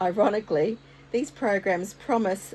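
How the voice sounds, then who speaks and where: A woman with an Australian accent, a dark, mellow tone, ordinary pitch variation and a fairly slow pace. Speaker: art content creator. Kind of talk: casual vlog talk to camera. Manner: occasional stutter.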